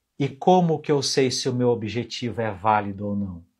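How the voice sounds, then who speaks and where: A man speaks at a medium pitch, somewhat breathy. The background is quiet. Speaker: finance educator and mentor. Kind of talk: live stream talk. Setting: live stream. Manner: animated.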